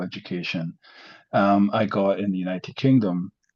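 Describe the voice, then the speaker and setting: A man with a Scottish accent talks at a fairly quick pace over a quiet background. His voice is fairly low in pitch with a dark, mellow tone. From Scotland, Glasgow. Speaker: professor. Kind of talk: lecture. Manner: hesitant, many fillers.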